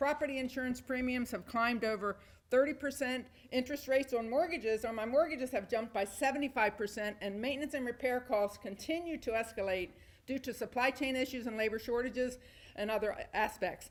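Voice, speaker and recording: A loud woman's voice, high in pitch, with ordinary pitch variation and a fairly quick pace. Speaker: landlord speaking at public comment. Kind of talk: prepared public comment speech. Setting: town hall meeting. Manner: formal.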